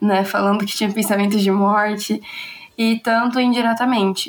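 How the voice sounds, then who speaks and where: Moderately paced speech from a woman at medium pitch over noticeable background noise. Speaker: podcast host. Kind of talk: casual chat.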